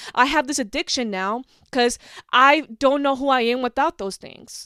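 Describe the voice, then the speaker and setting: A bright, sharp, animated voice is raised and projected, with big swings in loudness and ordinary pitch variation at a moderate pace. The recording is very clean, with a silent background and a dry, close sound with no echo. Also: woman, high pitch for a woman. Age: 20s. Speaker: podcast host. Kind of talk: casual monologue.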